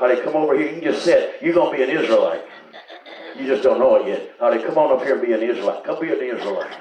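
The voice comes in a Southern US accent at a very fast pace with an animated tone. Noticeable background noise runs underneath. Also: man. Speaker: revival preacher. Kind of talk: revival sermon. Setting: church with live congregation. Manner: animated, exhortative, call-and-response with frequent hallelujahs; conversational, interjecting, pausing mid-thought.

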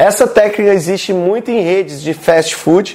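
At a moderate pace, a man with a Brazilian accent speaks in a high pitch with ordinary pitch variation, against noticeable background noise. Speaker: sales and marketing content creator. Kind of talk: tutorial. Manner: animated.

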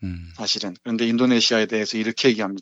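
A man talks in a normal speaking voice at a medium pitch, with ordinary pitch variation. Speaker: literature professor. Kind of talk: book review discussion. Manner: laughs often.

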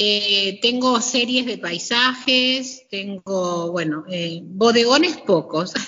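Speaking very slowly yet with hardly any pauses, a woman at a medium pitch uses lively intonation. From Argentina, Greater Buenos Aires (Hurlingham). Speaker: painter and gallery owner. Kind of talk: interview. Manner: hesitant, many fillers.

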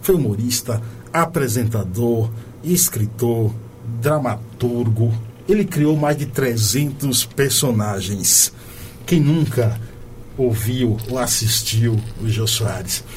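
Against noticeable background noise, a man at a medium pitch talks at a very slow pace with ordinary pitch variation and long, frequent pauses. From Bahia, Brazil. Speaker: radio host. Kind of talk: radio show hosting and interview. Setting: studio in São Paulo. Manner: animated, uses northeastern slang.

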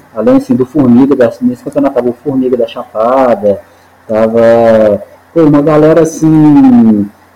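A man with a dark, mellow tone talks at medium pitch, keeping his loudness very even. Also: ordinary pitch variation, moderate pace. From Minas Gerais, Brazil (Montes Claros, raised in Belo Horizonte). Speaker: climber, highliner, base jumper and coach. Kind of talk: casual interview.

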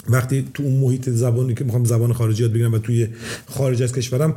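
A man is speaking. His pace is very fast. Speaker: property investor. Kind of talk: casual chat.

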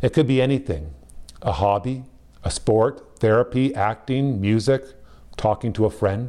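A man with a Canadian accent, medium in pitch and dark, mellow in tone, at a moderate pace with long, frequent pauses, ordinary pitch variation and very even loudness. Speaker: pastor. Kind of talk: sermon.

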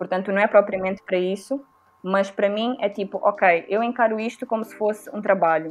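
A woman at a medium pitch talks fairly quickly, her intonation fairly even. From Mozambique. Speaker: podcast host and musician. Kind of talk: casual chat.

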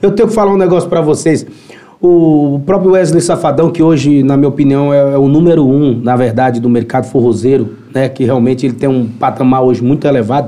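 A man speaks at a fairly quick pace in an unremarkable speaking voice with a fairly high pitch. His loudness stays very even, and his pitch variation is ordinary. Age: 30s. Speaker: musician. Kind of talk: casual chat.

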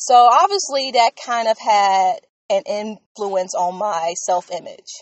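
Here is a woman with an American accent and a medium pitch. She speaks at a very slow pace. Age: 20s. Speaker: podcaster. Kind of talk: casual monologue.

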